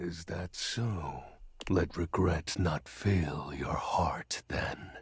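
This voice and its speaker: A man uses a put-on character voice. It is very deep and low, delivered at a very slow pace. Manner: somber, funereal, solemn.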